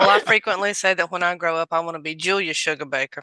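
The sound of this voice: Speaking at a very fast pace, a woman has a Southern US accent and a bright, sharp tone. The sound is dry and close with no echo. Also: fairly low pitch for a woman, fairly even intonation. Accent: Southern American.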